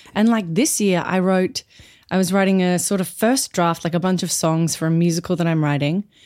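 Talking at a fairly quick pace, a woman uses an Australian accent. Her pitch is fairly low, with ordinary variation. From Brisbane, Australia. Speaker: actor and comedian. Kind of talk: casual chat.

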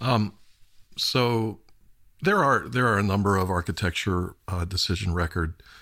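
The recording is very clean, with a silent background. A man speaks at a fairly slow pace with ordinary pitch variation. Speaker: podcast host. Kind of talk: interview conversation. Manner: filler-heavy, hesitant.

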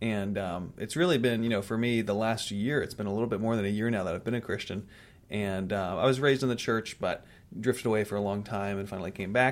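The recording is very clean, its background silent. A man's fairly low voice races along very fast with ordinary pitch variation. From Raleigh, North Carolina, US South. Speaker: podcast guest, host's fiancé. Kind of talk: casual chat.

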